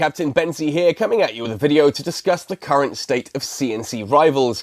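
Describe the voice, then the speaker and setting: A man with a British accent speaks at a fairly quick pace and fairly high pitch, with lively intonation, big swings in loudness and hardly any pauses. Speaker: gaming YouTuber. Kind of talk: video commentary.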